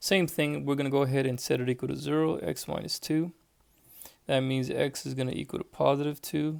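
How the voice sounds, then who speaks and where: A man talks at a fairly quick pace and a fairly high pitch. He has a plain, everyday voice with ordinary pitch variation. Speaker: math teacher. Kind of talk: tutorial. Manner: casual, thinking aloud.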